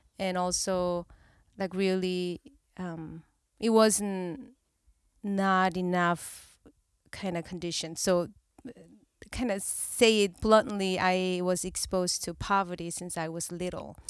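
In a Korean accent, a woman speaks at a very slow pace and a medium pitch, with long, frequent pauses. Her loudness swings widely, and the recording is very clean with a silent background. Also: fairly even intonation. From South Korea. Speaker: therapist. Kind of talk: casual chat.

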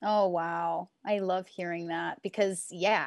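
Over a quiet background, a woman with an American accent speaks in an unremarkable speaking voice, her fairly low pitch and fairly even intonation moving at a fairly slow pace. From US Northeast, near Utica, New York. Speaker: Broadway actress and singer. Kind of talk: casual chat.

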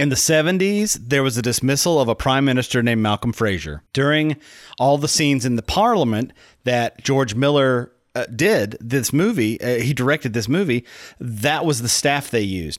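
On a very clean recording with a silent background, a man speaks in a plain, everyday voice at medium pitch. His intonation is lively while his loudness stays very even. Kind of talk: casual podcast banter. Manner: jokey, quick-witted, interjecting.

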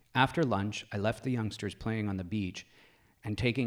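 A passage is read aloud in a natural voice.

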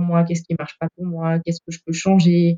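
A woman's dark, mellow voice, fairly low-pitched, in a dry, close sound with no echo. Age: 30s. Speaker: former coaching client, factory technician. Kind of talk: testimony in casual interview.

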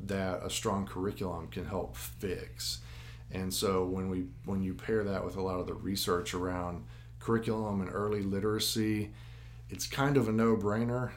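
A man with a Tennessee accent talks at a moderate pace in a very deep, low pitch. His pitch swings very widely, and room echo is audible. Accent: Southern US (Tennessee). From West Tennessee (Jackson). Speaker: school district academic officer. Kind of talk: casual interview. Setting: recorded live at a venue.

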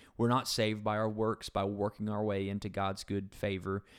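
The speech moves fairly quickly. It is a plain, everyday voice. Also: man. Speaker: pastor. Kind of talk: casual Bible study discussion.

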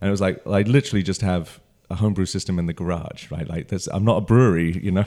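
A man's very deep, low voice with a dark, mellow tone and ordinary pitch variation, at a very fast pace, on a very clean recording with a silent background. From London, England. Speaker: brewer. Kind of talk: interview.

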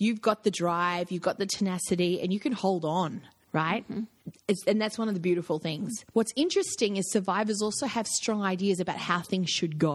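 This voice carries an Australian accent and sounds somewhat breathy. The pace is moderate. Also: woman. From Australia, with youth in Africa and Germany. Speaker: executive coach. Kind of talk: interview conversation.

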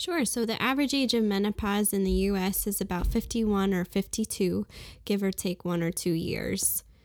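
Recorded very cleanly with a silent background and a dry, close sound with no echo, a woman with an American accent talks at a medium pitch and moderate pace in an unremarkable speaking voice, with ordinary pitch variation and very even loudness. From US Northeast, Brooklyn, New York. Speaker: physician. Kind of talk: interview.

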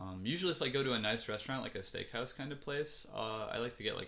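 With a Midwestern American accent, a man talks at a fairly quick pace in a bright, sharp tone with ordinary pitch variation. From US Midwest, Ann Arbor, Michigan. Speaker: musician. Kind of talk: casual chat.

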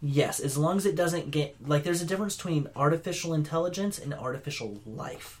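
The speaker talks fairly quickly with ordinary pitch variation, and noticeable background noise is present. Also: man, fairly high pitch for a man. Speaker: podcast co-host. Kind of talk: casual chat.

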